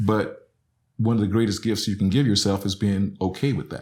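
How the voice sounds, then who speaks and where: With an Alabama accent, a man speaks at a moderate pace in a very clean recording with a silent background. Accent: Southern US (Alabama). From Alabama, US South. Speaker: professor. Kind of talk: casual chat.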